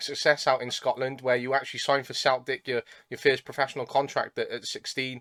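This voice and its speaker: A man rushes along at a very fast pace and fairly high pitch, the sound dry and close with no echo. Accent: Welsh. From South Wales. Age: 20s. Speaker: podcast host, football coach. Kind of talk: podcast interview.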